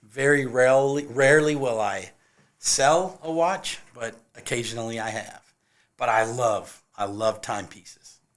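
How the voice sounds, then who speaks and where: A man with an American accent and a normal speaking voice talks fairly slowly at medium pitch with ordinary pitch variation. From California. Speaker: handyman and musician. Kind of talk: casual chat.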